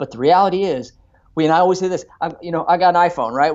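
This man's voice sits at a high pitch. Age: 30s. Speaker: chiropractor. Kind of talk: interview. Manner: animated; halting.

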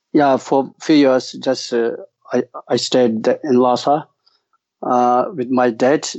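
Speaking very slowly with long, frequent pauses, a man with a Tibetan accent keeps a medium pitch in monotone, flat intonation. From East Tibet. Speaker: Buddhist monk and teacher. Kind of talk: casual interview. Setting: video call. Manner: halting, hesitant.

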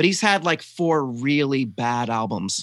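Speaking with a Southern US accent, a man uses lively intonation. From US South. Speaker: podcast host. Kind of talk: casual chat about music. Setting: video call.

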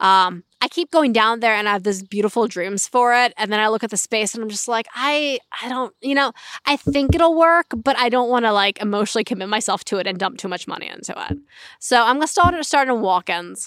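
Lively in intonation, a woman with a fairly high pitch and an American accent has an unremarkable speaking voice. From Pennsylvania, Berks County. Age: 30s. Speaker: dairy farmer and cheesemaker. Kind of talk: interview conversation.

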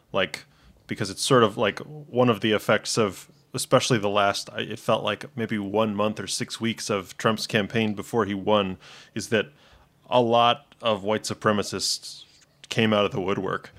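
This man has an ordinary speaking voice, fairly low in pitch, with an American accent, fairly even intonation and a moderate pace, and the recording is very clean with a silent background. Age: 30s. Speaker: podcast guest. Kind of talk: casual political discussion.

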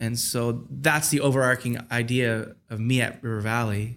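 The recording is very clean, with a silent background. A man speaks at medium pitch with monotone, flat intonation. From Michigan, Detroit area. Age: 30s. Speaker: pastor and worship leader. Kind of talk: casual interview chat.

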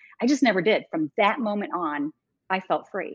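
With lively intonation, a woman talks at a moderate pace and medium pitch in an unremarkable speaking voice. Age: 50s. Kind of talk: casual interview conversation.

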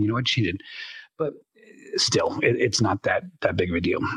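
A man's voice at a moderate pace, broken by long, frequent pauses. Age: 50s. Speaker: voice actor and world builder. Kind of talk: casual interview chat. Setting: virtual world, live online recording.

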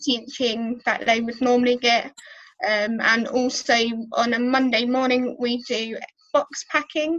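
Delivery is at a fairly slow pace with fairly even intonation. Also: woman, high pitch for a woman. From Colchester, England. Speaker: church volunteer and animal care worker. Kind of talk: interview.

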